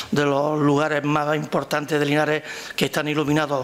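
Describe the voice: There is faint background noise as a man speaks with a fairly bright tone.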